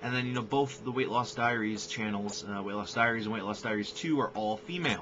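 A man speaks with ordinary pitch variation as noticeable background noise runs behind him. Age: 20s. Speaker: vlogger and filmmaker; vlogger. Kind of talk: casual vlog introduction. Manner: halting, many fillers. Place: home room. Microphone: webcam.

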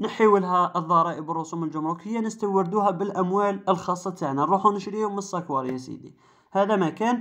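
Against a quiet background, a speaker with an Algerian accent talks fairly quickly in an animated tone, with hardly any pauses. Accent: Algerian Arabic (Darija). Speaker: car channel YouTuber. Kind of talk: commentary video monologue.

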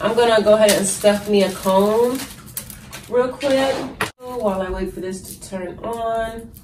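Over noticeable background noise, a woman speaks with an American accent. Her fairly high pitch has fairly even intonation at a fairly slow pace. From Texas. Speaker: vlogger and online business owner. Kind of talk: casual vlog. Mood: relaxed, chatty. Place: home room. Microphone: phone near.

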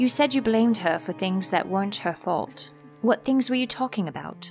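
Music plays in the background as a woman speaks at a moderate pace. Her medium-pitched voice has lively intonation. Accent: American. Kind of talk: horror story audiobook reading.

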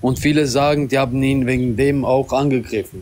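Ordinary pitch variation in a non-native accent. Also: man. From Albanian community. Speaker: caller. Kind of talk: casual chat. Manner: halting. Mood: friendly, smiling.

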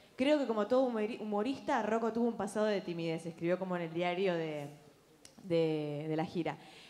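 A woman's tone is dark and mellow. Her intonation is lively. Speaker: emcee. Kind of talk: event hosting. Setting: stage with audience. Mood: light, joking. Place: stage. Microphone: handheld.

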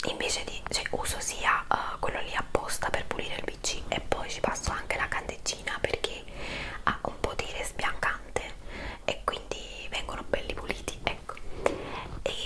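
A woman talks at a moderate pace with long, frequent pauses. Loud background noise runs underneath. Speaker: home product reviewer. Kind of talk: casual vlog chat. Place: home room.

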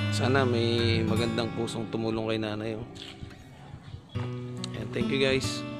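A man talks at a fairly slow pace. Loud music plays in the background. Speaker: vlogger. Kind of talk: casual vlog narration to camera. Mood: sympathetic, hopeful. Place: street. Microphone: phone near.

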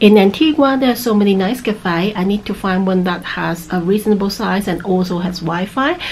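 With hardly any pauses, a woman talks at a fairly quick pace and ordinary pitch variation over light background noise. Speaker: travel vlogger. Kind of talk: casual vlog chat. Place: home room. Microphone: phone near.

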